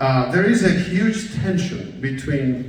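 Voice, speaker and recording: A man at a very slow pace, lively intonation, amid noticeable background noise and audible room echo. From Spain (Basque Country / Galicia). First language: Basque and Galician. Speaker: professor. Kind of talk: keynote speech. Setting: stage with audience. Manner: hesitant, many fillers.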